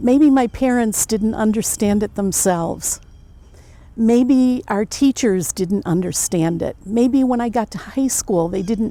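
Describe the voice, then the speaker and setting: A woman's fairly high, dark, mellow voice, fairly slow and with lively intonation. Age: 70s. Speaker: visitor. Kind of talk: interview.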